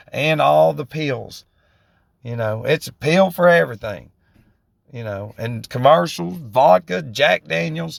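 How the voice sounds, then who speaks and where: A man with a Southern US accent at medium pitch, with very wide pitch swings and big swings in loudness, on a very clean recording with a silent background and a dry, close sound with no echo. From US South, northwest Georgia. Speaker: vlogger in addiction recovery. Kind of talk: casual monologue. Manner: rambling, halting with repetitions.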